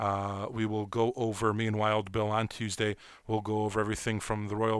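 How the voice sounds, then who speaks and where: A man's fairly low voice with an American accent and monotone, flat intonation. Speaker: sports radio host. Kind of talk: casual sports talk show. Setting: studio, live stream.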